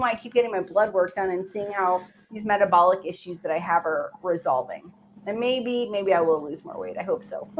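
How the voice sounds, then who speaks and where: A plain, everyday voice with an American accent moves at a fairly quick pace with lively intonation. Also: woman. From Chicago. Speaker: weight loss livestream host. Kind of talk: casual chat. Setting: live stream.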